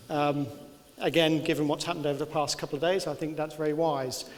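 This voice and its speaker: A man with a Birmingham accent at a very fast pace, with noticeable background noise and audible room echo. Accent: English, Birmingham area. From English Midlands, south of Birmingham. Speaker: engineering consultant. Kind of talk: lecture. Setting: lecture theatre with audience. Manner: halting with many fillers.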